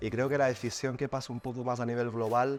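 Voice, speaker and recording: Fairly quick delivery in a flat, monotone intonation. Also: man. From Catalonia, Spain. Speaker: advertising agency executive. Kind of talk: podcast interview. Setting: studio.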